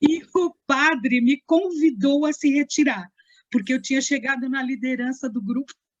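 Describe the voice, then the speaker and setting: A woman's high voice at a moderate pace, with ordinary pitch variation and a dry, close sound with no echo. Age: 60s. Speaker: actress and theatre teacher. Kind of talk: casual chat interview.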